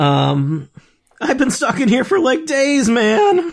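Someone puts on a high-pitched character voice and speaks at a very slow pace. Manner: goofy, laid-back.

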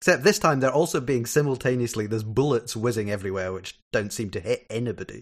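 Very fast delivery with lively intonation, on a very clean recording against a silent background. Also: man, medium pitch for a man. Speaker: podcast guest, TV discussion. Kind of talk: casual chat.

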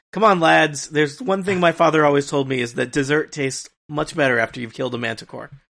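A man speaks at a very fast pace with hardly any pauses. His voice is fairly high-pitched, with ordinary pitch variation. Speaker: tabletop game player. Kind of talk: tabletop roleplaying game, casual banter.

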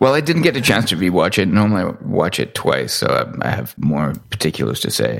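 A man speaks at a fairly low pitch with very wide pitch swings. Noticeable background noise is present. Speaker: podcast co-host. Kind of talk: casual chat.

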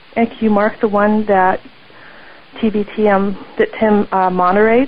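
A woman's fairly high-pitched voice over noticeable background noise. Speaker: listener caller. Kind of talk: voicemail message. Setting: phone call. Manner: halting.

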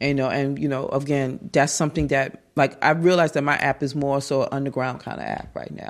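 A woman talks at a fairly quick pace in a very deep, low voice. Her tone is animated, with vocal fry. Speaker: app developer. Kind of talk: interview conversation.

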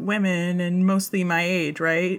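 This woman has a fairly low voice and an American accent. She talks at a fairly slow pace. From United States. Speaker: podcast guest. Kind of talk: casual chat. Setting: remote recording.

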